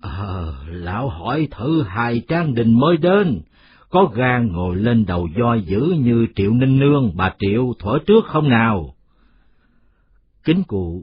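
Man's put-on character voice, gravelly and hoarse, medium in pitch with very wide pitch swings, at a fairly slow pace.

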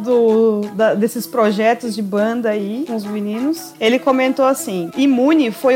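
Over noticeable background noise, a woman with a high pitch and ordinary pitch variation speaks at a fairly slow pace. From Rio Grande do Sul, Brazil. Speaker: podcast co-host. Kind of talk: casual chat.

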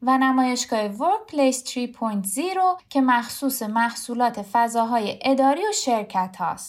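A woman speaks with a high voice. Her pace is moderate and her pitch varies in an ordinary way. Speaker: podcast co-host. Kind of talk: podcast narration and casual chat between co-hosts.

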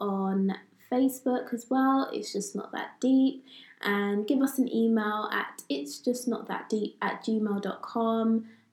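Against noticeable background noise, a woman speaks at a fairly high pitch and a very slow pace, with ordinary pitch variation. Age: 20s. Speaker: podcast co-host. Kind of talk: casual chat.

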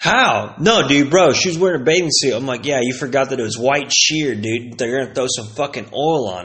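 A man with an American accent, an animated tone, fairly high pitch and very wide pitch swings. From Texas (Plano). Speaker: podcast host. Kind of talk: casual monologue.

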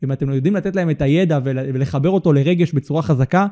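Very fast man's speech, fairly high in pitch with ordinary pitch variation and a dark, mellow tone. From Israel, Holon. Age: 20s. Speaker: content studio owner. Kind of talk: casual interview. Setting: studio.

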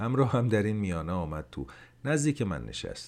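Very wide pitch swings mark a man's fairly low voice. The recording is very clean, with a silent background. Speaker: podcast host and story narrator. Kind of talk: reading aloud a short story.

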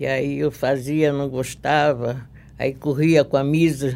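Monotone, flat intonation from a woman with a very deep, low pitch. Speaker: dressmaker and embroiderer. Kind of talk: interview.

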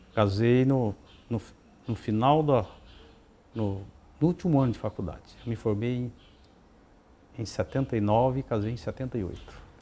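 A man's medium-pitched voice with ordinary pitch variation and a dark, mellow tone, at a very slow pace broken by long, frequent pauses. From Paraná, Brazil (Terra Rica). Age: 60s. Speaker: mayor. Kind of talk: interview. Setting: at the guest's home.

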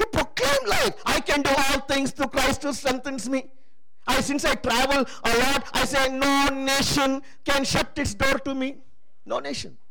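The speech runs at a fairly slow pace with noticeable background noise. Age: 60s. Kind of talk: sermon. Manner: animated.

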